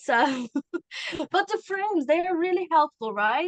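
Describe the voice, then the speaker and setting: A woman speaks with a Turkish accent and lively intonation in a dry, close sound with no echo. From Turkey. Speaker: communication coach. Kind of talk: interview conversation.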